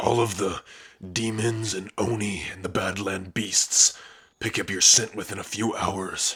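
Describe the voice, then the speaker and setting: A man's put-on character voice, gruff and raspy, fairly low in pitch, with flat, monotone intonation, big swings in loudness and a moderate pace. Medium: solo performance. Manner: gruff, dismissive, frequent sighs.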